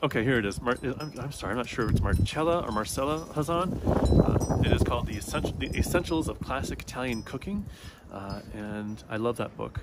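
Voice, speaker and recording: Over noticeable background noise, a soft-spoken man at a medium pitch talks at a fairly quick pace with lively intonation. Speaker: book vlogger. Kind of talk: casual chat. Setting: outdoors in the woods. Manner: halting, many fillers.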